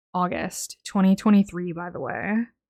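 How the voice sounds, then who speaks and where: A woman is speaking. She is soft-spoken. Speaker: diamond painting YouTuber. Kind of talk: casual chat while crafting. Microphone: mic held close to face.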